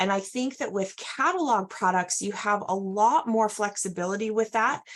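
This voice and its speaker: A woman speaks with a normal speaking voice at a moderate pace. Her pitch is medium, with ordinary pitch variation. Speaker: direct sales trainer. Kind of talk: training presentation.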